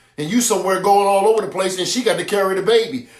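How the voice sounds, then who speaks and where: With a high pitch and ordinary pitch variation, a man talks at a very fast pace. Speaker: apostle / preacher. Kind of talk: sermon. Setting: livestream on Facebook and YouTube.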